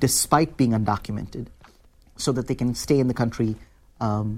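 A man with an Indian accent talks at a fairly quick pace. His pitch sits in the medium range and varies in an ordinary way. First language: Hindi. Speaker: author and labor organizer. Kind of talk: interview. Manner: hesitant, many fillers.

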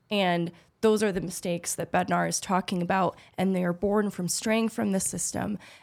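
Here is a woman with an unremarkable speaking voice, medium in pitch, at a moderate pace with fairly even intonation. The recording is very clean, with a silent background. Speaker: hockey podcast co-host. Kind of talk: casual chat. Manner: articulate, analytical.

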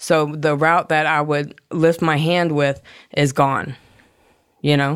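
A woman speaks very slowly in a very deep, low voice, with long, frequent pauses between phrases. Her loudness stays very even and her intonation is flat and monotone. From South Florida (Hollywood, Florida). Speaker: person in addiction recovery. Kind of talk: personal testimony.

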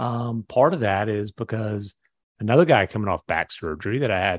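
A man talks at a moderate pace with a plain, everyday voice and a fairly low pitch. The sound is dry and close, with no echo. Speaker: basketball reporter. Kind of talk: casual sports chat. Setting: remote from Dallas.

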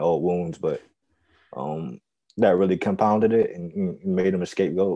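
Against a quiet background, a man speaks at a moderate pace in a very deep, low voice. His tone is dark and mellow, and his intonation fairly even. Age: 20s. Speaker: baseball writer. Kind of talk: casual chat. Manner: halting.

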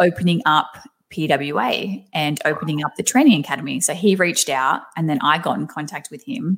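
A woman with an Australian accent, fairly low in pitch, at a moderate pace. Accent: thick Australian. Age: 30s. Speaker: professional wrestler. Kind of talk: casual interview chat. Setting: remote call with microphone.

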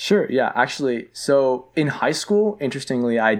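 A man speaks with a Toronto accent. The background is quiet. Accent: Canadian (Toronto). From Canada, Greater Toronto Area. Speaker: university student. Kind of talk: casual interview. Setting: studio.

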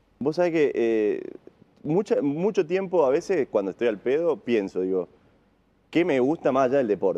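A man with a fairly high pitch, very wide pitch swings, a dark, mellow tone, very even loudness and a moderate pace. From Argentina, Río Tercero, Córdoba. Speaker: wheelchair tennis player. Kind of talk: casual interview.

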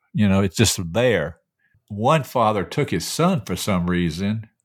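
Over a very clean recording with a silent background, a man with an unremarkable speaking voice talks at a moderate pace with lively intonation. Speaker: host's father, regular news segment. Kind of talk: casual chat.

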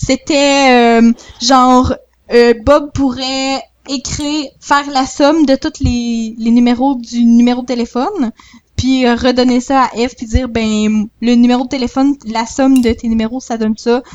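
Speaking at a fairly slow pace, a woman keeps a high pitch and fairly even intonation. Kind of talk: casual chat.

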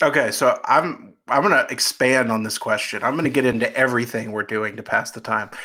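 Hardly any pauses break up the speech. The man keeps a fairly quick pace. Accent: American. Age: 30s. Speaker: sports recruiting reporter. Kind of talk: casual chat. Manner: animated.

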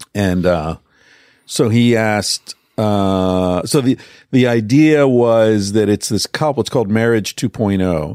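A man talks in an ordinary speaking voice at a fairly low pitch, slowly, with ordinary pitch variation. The recording is very clean, with a silent background. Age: 50s. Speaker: psychologist and author. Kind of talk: casual chat.

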